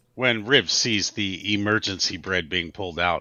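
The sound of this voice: Speaking at a moderate pace, a man with a low pitch has a bright, sharp tone.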